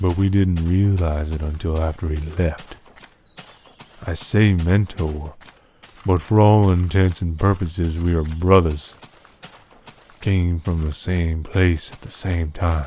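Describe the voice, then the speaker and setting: A man's gruff, put-on character voice, very deep and low, monotone and flat, at a fairly slow pace with long, frequent pauses and big swings in loudness. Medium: machinima. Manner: folksy, gruff.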